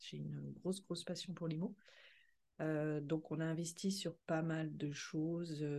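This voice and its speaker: Very slowly, a woman speaks in a monotone with flat intonation, her very deep, low pitch carrying a dark, mellow tone. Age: 50s. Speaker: podcast co-host, finance director and property investor. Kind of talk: casual chat.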